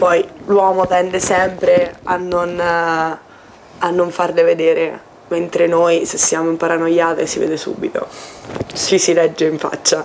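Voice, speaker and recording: A woman speaks very slowly in a fairly low, monotone, flat voice. Light background noise can be heard. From Umbria, central Italy (Foligno). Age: 20s. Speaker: university student. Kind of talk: casual chat. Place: home room. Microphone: camera far.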